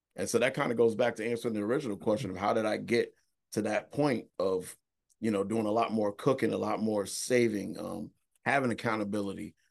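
A man with an ordinary speaking voice, fairly low in pitch, at a fairly quick pace, with fairly even intonation over a quiet background. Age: 30s. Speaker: real estate investor. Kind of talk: casual chat.

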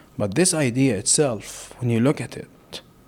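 A man speaks with an Arabic accent. His pace is fairly slow. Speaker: humanitarian worker from Gaza. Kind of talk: interview conversation.

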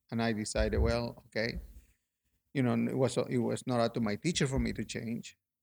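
A man with a Peruvian accent speaks at a fairly quick pace. The recording is very clean, with a silent background. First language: Spanish. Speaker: sculptor and painter. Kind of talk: casual interview.

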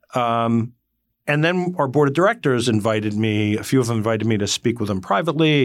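In a New Jersey accent, a man talks at a very fast pace with lively intonation on a very clean recording with a silent background. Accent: New Jersey American. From northwestern New Jersey, Morris County. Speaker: company CEO. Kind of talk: interview conversation. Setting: studio.

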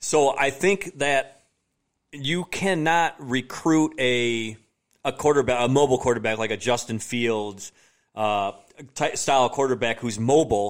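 Here is a man with an American accent and a normal speaking voice, set at medium pitch with ordinary pitch variation. He goes at a fairly slow pace on a very clean recording with a silent background. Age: 40s. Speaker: sports podcast host. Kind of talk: casual chat.

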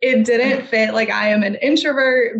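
This woman has an unremarkable speaking voice and talks at a fairly slow pace. Her intonation stays fairly even. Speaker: physical therapist and clinic owner. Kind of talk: interview.

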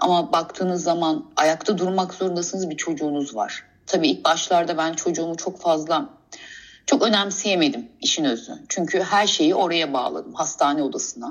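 Her voice fairly low, a woman speaks at a moderate pace with lively intonation. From Istanbul, Turkey. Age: 40s. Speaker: guest sharing life story. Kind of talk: personal testimony. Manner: halting, many hesitations.

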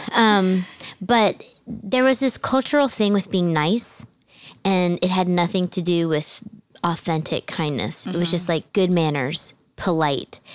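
A woman with an American accent speaks at a fairly slow pace in a medium pitch, using an ordinary speaking voice with lively intonation, on a very clean recording with a silent background. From New Jersey, near Philadelphia. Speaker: podcast co-host. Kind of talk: casual faith conversation.

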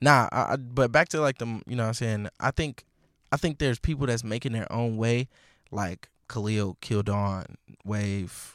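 A man's fairly low-pitched, normal speaking voice with an American accent, dry and close with no echo, on a very clean recording with a silent background. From Milwaukee, US Midwest. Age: 20s. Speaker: DJ. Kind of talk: casual chat.

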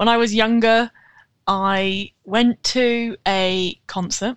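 A woman with a British accent, fairly even intonation, a dry, close sound with no echo, and a very clean recording over a silent background. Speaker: rat owner and rat-themed account creator. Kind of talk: casual interview chat.

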